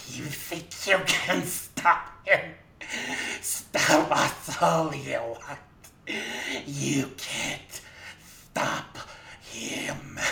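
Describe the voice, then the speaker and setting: A man does a put-on character voice, strained and fairly high in pitch, with lively intonation and big swings in loudness. He goes at a very slow pace with long, frequent pauses. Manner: squealing, strained.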